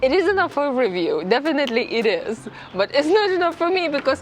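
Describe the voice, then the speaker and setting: A woman speaks at a fairly quick pace with very wide pitch swings. Noticeable background noise runs underneath. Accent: non-native. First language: not English. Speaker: motorcycle vlogger. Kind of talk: vlog review.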